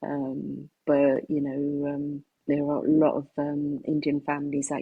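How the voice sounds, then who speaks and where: A woman's very deep, low voice with a British accent at a fairly slow pace. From United Kingdom. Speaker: singer and songwriter. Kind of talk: interview. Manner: hesitant, many fillers.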